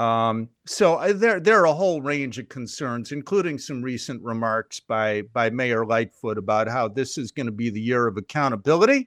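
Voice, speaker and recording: A man speaks in an unremarkable speaking voice at a medium pitch with lively intonation. He keeps a moderate pace with hardly any pauses. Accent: American. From Chicago. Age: 60s. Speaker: journalist and senior editor. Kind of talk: podcast interview.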